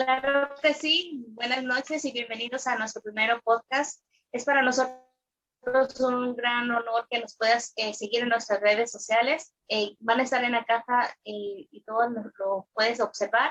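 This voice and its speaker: The voice has a bright, sharp tone and big swings in loudness. Its intonation is fairly even, and the pace fairly slow. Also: woman, high pitch for a woman. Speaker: podcast co-host. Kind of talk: casual chat.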